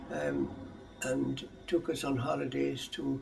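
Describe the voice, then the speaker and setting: A man with an Irish accent, music in the background. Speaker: clan chief interviewee. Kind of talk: oral history interview. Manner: halting.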